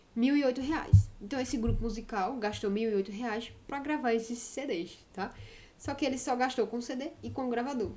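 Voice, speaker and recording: In a room with audible echo, a woman speaks in a high, animated tone with ordinary pitch variation. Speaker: math teacher. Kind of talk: lecture. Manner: fast.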